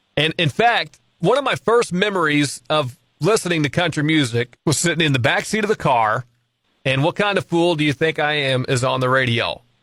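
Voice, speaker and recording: Recorded dry and close with no echo, a man with a fairly high pitch and a bright, sharp tone speaks at a moderate pace with lively intonation and very even loudness. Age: 30s. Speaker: radio host. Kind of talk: interview.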